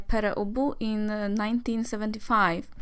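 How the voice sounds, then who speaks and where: A woman with a Polish accent, fairly high pitch and moderate pace. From Poland. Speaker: music vlogger. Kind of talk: casual album review vlog. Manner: hesitant, many fillers.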